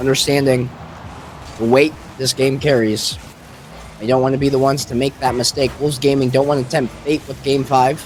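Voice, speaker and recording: Over noticeable background noise, a man of medium pitch talks at a fairly quick pace broken by long, frequent pauses. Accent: American. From United States. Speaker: esports caster. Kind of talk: live commentary. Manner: animated.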